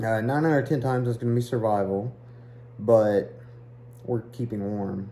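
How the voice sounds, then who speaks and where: A man with fairly even intonation and long, frequent pauses. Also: medium pitch for a man, moderate pace. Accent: Eastern Kentucky. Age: 30s. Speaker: hiking vlogger. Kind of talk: casual vlog talk.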